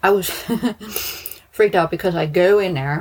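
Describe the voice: A woman with a slightly husky edge speaks at a fairly slow pace and medium pitch, with ordinary pitch variation.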